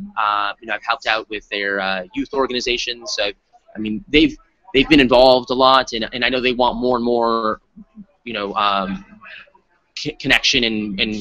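Bright and sharp in tone, a man talks at a moderate pace with long, frequent pauses and ordinary pitch variation, recorded dry with no echo. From Arizona. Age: 30s. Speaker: state legislator; interviewee. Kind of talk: interview. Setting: conference. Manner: halting.

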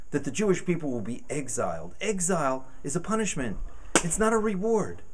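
A high-pitched man's voice with very wide pitch swings over light background noise. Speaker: rabbi. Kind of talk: interview answer. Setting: outdoors. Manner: soft-spoken. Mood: earnest, animated persuasion.

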